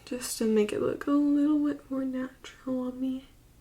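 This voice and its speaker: A woman mumbles quietly at a moderate pace. Her tone is dark and mellow, with ordinary pitch variation. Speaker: beauty vlogger. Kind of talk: makeup tutorial talk to camera. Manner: quiet, mumbling.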